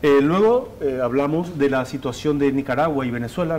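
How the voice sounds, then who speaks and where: Noticeable background noise accompanies a voice at a fairly quick pace with ordinary pitch variation. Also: man. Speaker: TV journalist. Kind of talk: studio report on interview. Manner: fast.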